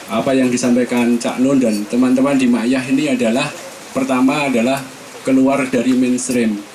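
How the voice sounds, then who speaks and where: Over noticeable background noise and audible room echo, the speech moves at a moderate pace with fairly even intonation. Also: man. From East Java, Magetan. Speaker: audience member asking a question. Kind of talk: question from the audience at a public forum. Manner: halting, spontaneous.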